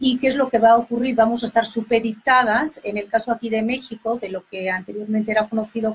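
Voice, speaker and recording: In a Catalan accent, a woman with a fairly high pitch talks at a fairly quick pace with fairly even intonation. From Catalonia, Spain. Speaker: historian, professor. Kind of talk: radio interview. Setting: radio studio.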